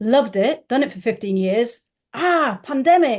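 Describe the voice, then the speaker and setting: A woman speaks in a northern English accent at a moderate pace. The background is quiet. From northern England. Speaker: business founder. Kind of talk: podcast interview.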